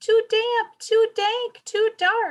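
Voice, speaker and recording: Putting on a character voice, a woman sounds squeaky and extremely high-pitched with fairly even intonation. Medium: read story.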